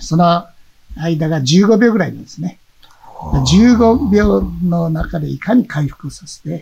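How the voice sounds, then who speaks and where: At a very slow pace, a man talks in a high voice with lively intonation and big swings in loudness. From Amami Oshima, Kagoshima, Japan. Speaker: karate federation leader. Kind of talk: interview.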